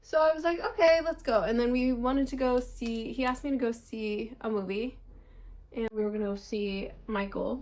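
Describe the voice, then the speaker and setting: A woman with an unremarkable speaking voice and a fairly high pitch talks at a moderate pace with ordinary pitch variation. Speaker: beauty vlogger. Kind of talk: casual chat.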